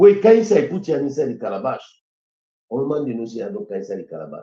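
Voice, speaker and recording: This man's dark, mellow voice races along at a very fast pace with very wide pitch swings and vocal fry. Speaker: lawyer and former justice minister. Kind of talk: interview discussion.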